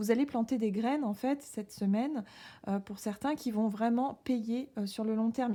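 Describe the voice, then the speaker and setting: A woman's fairly high, dark and mellow voice moves with ordinary pitch variation. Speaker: tarot reader. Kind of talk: tarot reading. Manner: halting, many hesitations.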